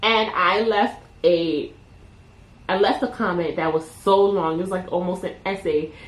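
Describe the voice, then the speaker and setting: The speaker talks at a fairly slow pace. They have a Caribbean accent. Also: woman, medium pitch for a woman, ordinary pitch variation. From Caribbean, Jamaican and Panamanian heritage. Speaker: YouTuber. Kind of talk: casual unscripted talk to camera. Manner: relaxed, unedited, with filler words.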